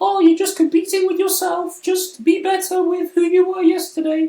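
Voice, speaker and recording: In a put-on character voice, the speaker sounds squeaky at an extremely high pitch, keeping a monotone, flat intonation at a moderate pace. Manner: mocking.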